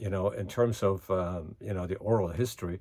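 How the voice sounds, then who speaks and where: With a German accent, a man speaks in a very deep, low pitch and fairly even intonation on a very clean recording with a silent background. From Germany. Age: 80s+. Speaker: current events vlogger. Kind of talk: casual monologue. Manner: hesitant with many fillers.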